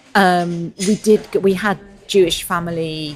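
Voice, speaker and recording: Against noticeable background noise, a woman with an English accent talks in a fairly low pitch with fairly even intonation. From England. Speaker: novelist. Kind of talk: interview. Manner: thoughtful, hesitant.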